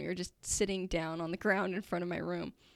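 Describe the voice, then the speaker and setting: A woman with an ordinary speaking voice talks at a medium pitch and a moderate pace in an American accent, with fairly even intonation on a very clean recording with a silent background. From Utah, US. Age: 20s. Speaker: engineering student. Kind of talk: testimony.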